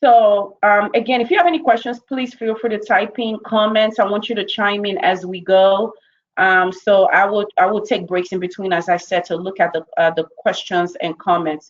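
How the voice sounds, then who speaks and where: A woman talks with a medium pitch. She leaves hardly any pauses. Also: ordinary pitch variation. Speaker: corporate trainer. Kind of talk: webinar presentation. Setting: online webinar. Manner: fast.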